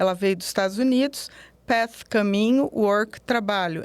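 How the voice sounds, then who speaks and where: At a fairly slow pace, a woman speaks in a fairly high pitch with ordinary pitch variation, in a very clean recording with a silent background. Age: 60s. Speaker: self-knowledge coach. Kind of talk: interview. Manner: halting.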